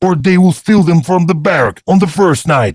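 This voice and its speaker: At a high pitch, a man puts on a character voice. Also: moderate pace. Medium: read story. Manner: hasty, wheedling.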